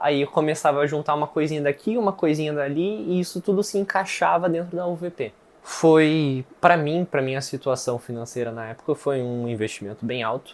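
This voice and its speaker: A man's fairly high voice at a fairly quick pace, with ordinary pitch variation and hardly any pauses. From southern Brazil, Rio Grande do Sul (Viamão, near Porto Alegre). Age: 20s. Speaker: student testimonial for investment course. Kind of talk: testimony. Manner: casual, with hesitations.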